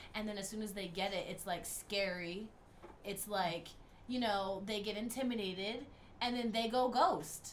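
With an animated tone, a woman speaks through noticeable background noise and audible room echo. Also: medium pitch for a woman, ordinary pitch variation, moderate pace. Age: 20s. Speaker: podcast co-host. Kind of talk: casual chat.

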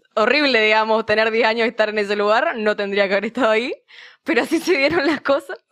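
In an Argentine accent, a woman talks at a very fast pace with a fairly high pitch, ordinary pitch variation and very even loudness, in a dry, close sound with no echo. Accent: mild Argentine. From Misiones, Argentina. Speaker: university student. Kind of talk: casual chat.

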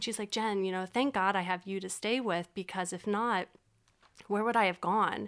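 A woman's plain, everyday voice at a medium pitch, with an American accent and a moderate pace, in a very clean recording with a silent background. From Pennsylvania, Berks County (Reading). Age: 30s. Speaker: model and social service worker. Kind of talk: casual chat.

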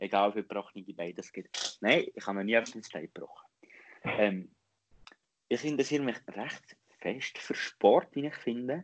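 With a Lucerne accent, a man of medium pitch speaks at a moderate pace with lively intonation and big swings in loudness. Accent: Lucerne hinterland Swiss German dialect. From Switzerland, Lucerne hinterland. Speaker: podcast host. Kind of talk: casual chat.

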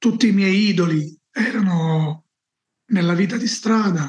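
A man's voice, high in pitch with ordinary pitch variation, moves at a very slow pace. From southern Italy, Campania (Salerno area). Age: 40s. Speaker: evangelist. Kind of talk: interview testimony.

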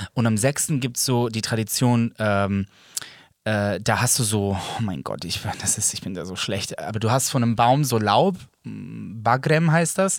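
Here is a man at a medium pitch with an ordinary speaking voice. His intonation is lively and his pace fairly slow. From Germany, Serbian family. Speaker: podcast co-host. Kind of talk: casual chat.

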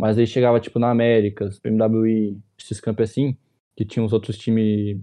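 This speaker is a man. He talks with monotone, flat intonation. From Ponta Grossa, Paraná, southern Brazil. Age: 20s. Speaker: professional esports player. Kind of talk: casual interview chat.

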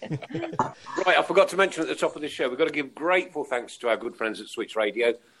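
A man talks very fast at a fairly high pitch while noticeable noise runs in the background. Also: lively intonation. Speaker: football podcast host. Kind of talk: casual chat, show hosting.

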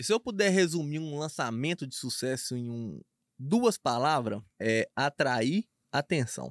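A man with an ordinary speaking voice talks at a fairly high pitch, his intonation lively and his loudness swinging widely. The sound is dry and close, with no echo. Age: 20s. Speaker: paid traffic marketing expert. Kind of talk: casual podcast interview.

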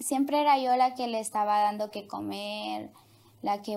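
This woman speaks at a medium pitch. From Honduras. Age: young. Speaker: interview guest sharing life story. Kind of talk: personal testimony. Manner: hesitant, many fillers.

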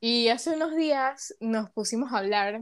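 In a very clean recording with a silent background, a woman with a Panamanian accent speaks at a fairly high pitch with lively intonation. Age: young. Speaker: podcast co-host, psychology student. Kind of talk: casual chat.

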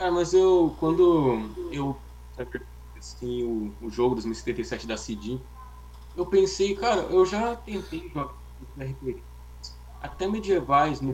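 A man talks at a very slow pace, leaving long, frequent pauses between his words. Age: young. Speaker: podcast co-host. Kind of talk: casual chat.

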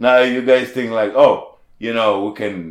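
A man with a non-native accent talks at a fairly slow pace in a medium pitch. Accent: foreign. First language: not English. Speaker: formerly homeless restaurant worker. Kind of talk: interview testimony. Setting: studio. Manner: halting.

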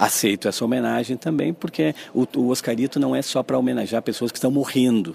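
A man with vocal fry at a fairly quick pace. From southern Brazil, Caxias do Sul. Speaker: film festival curator. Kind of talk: radio interview.

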